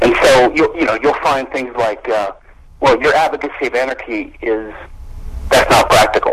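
In an American accent, a man speaks at a moderate pace. Noticeable background noise runs underneath. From US South, Louisiana (Baton Rouge). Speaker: attorney and libertarian theorist. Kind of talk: interview. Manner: hesitant, many fillers.

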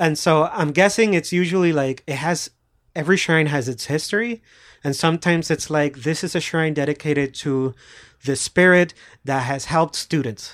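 A man speaks with a Puerto Rican accent at a fairly high pitch and a moderate pace. The recording is very clean, with a silent background. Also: ordinary pitch variation. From Puerto Rico. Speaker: podcast co-host. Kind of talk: casual chat.

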